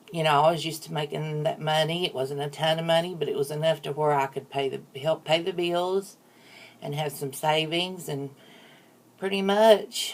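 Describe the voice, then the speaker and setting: With noticeable background noise behind her, a woman speaks at a moderate pace in a very deep, low pitch with fairly even intonation. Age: 40s. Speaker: YouTuber. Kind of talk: casual chat.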